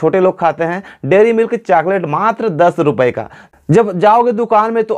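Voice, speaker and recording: A man speaks at a moderate pace in a high voice with ordinary pitch variation. The background is quiet. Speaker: tech channel host. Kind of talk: tutorial. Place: home room. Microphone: lapel.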